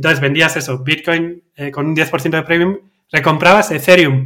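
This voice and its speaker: A man with a Basque accent talks at a fairly quick pace in a high pitch, his tone bright and sharp and his intonation fairly even. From Basque Country, Spain. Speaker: crypto trader, company cofounder. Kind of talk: interview.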